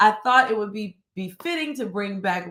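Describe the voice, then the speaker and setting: A woman's medium-pitched, animated voice at a moderate pace, with ordinary pitch variation. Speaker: church minister. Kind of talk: live-streamed devotional talk. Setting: home studio, live stream. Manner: loud.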